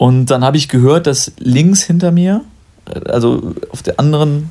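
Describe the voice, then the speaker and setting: A man speaks at a fairly high pitch with ordinary pitch variation. His pace is very slow. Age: 20s. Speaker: podcast host. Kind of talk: casual chat.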